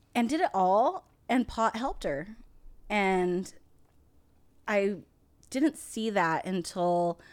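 A woman with an American accent at medium pitch, lively intonation, a very slow pace and long, frequent pauses, on a very clean recording with a silent background. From United States, Indian family. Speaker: cannabis podcast co-host, test lab worker. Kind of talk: casual chat. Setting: studio room, smoking.

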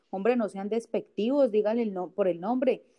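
A woman talks fairly quickly, her medium pitch moving with ordinary variation. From Bogotá, Colombia. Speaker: stand-up comedian and plus-size model. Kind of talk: casual chat. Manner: animated.

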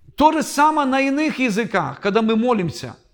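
A man talks at a moderate pace. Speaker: pastor and Bible teacher. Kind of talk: lecture.

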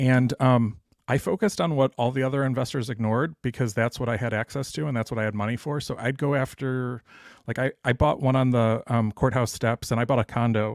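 In a plain, everyday voice with an American accent, a man of medium pitch talks at a fairly quick pace on a very clean recording with a silent background. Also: ordinary pitch variation. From Dallas, Texas. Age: 40s. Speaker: real estate investor. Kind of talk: interview.

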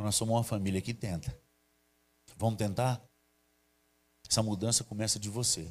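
At a moderate pace, a man with a fairly low, somewhat breathy voice speaks in a fairly even tone, leaving long, frequent pauses. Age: 50s. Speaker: pastor. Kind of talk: sermon. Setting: church livestream.

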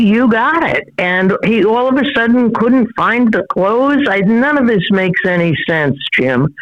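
In a normal speaking voice, the speaker talks at a fairly slow pace with very even loudness and hardly any pauses. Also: woman, fairly high pitch for a woman. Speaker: former federal prosecutor. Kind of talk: phone interview. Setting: phone call.

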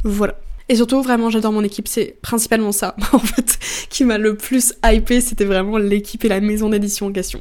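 A woman talks at a moderate pace with a fairly high pitch and monotone, flat intonation. The recording is very clean, the background silent. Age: 20s. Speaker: book content creator and podcaster. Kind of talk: casual solo chat.

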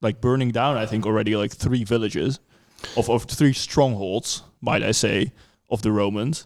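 This voice carries a Dutch accent. It moves at a moderate pace with ordinary pitch variation. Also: man. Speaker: podcast host. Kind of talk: casual chat. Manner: hesitant, filler-heavy.

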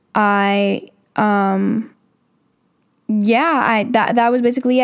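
Her fairly high pitch and fairly even intonation mark this woman's voice as an unremarkable speaking voice. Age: 20s. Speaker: podcast host, college student. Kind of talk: casual monologue.

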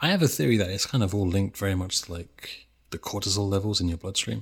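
A man with a fairly low pitch speaks in a somewhat breathy voice on a very clean recording with a silent background. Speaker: YouTuber video essayist. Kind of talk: casual chat interview. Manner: stutter, pronounced speaking style.

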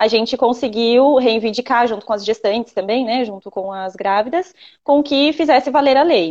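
A woman's high pitch with ordinary pitch variation. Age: 20s. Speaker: doula. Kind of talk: live-stream interview.

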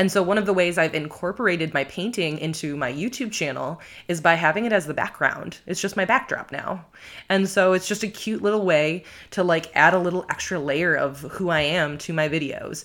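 On a very clean recording with a silent background, a woman with an American accent and an unremarkable speaking voice talks at a fairly quick pace, her fairly low pitch showing ordinary variation. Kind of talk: casual interview conversation.

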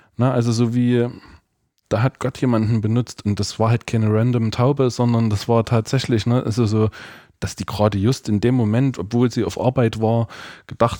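This man has an ordinary speaking voice at a medium pitch, talking at a moderate pace. His intonation is fairly even, and the sound is dry and close with no echo. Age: 30s. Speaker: church youth worker. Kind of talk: casual chat.

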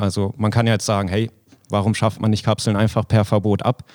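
On a very clean recording with a silent background, a man speaks with a fairly low pitch. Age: 20s. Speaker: startup founder. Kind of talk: interview. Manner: frequent filler words (ähm).

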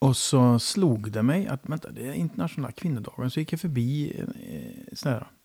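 Medium-pitched male speech, somewhat breathy with a dark, mellow tone, lively intonation and a moderate pace, on a very clean recording with a silent background. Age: 50s. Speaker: podcast host. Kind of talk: casual interview. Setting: home kitchen.

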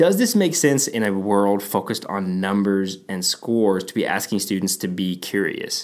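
With an American accent, a man in an ordinary speaking voice talks at a moderate pace with a fairly low pitch and hardly any pauses. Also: ordinary pitch variation. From Texas. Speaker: educational technology podcast co-host, former teacher. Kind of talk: casual chat.

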